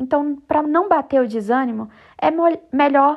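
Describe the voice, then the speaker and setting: At a fairly slow pace, a woman with a high pitch speaks with ordinary pitch variation. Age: 20s. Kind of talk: devotional reflection monologue.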